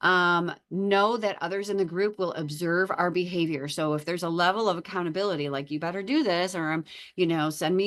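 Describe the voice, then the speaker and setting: A woman's fairly low, an unremarkable speaking voice, fairly quick, with ordinary pitch variation over a quiet background. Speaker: psychology lecturer. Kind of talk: lecture. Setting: online lecture with screen share. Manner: frequent filler words.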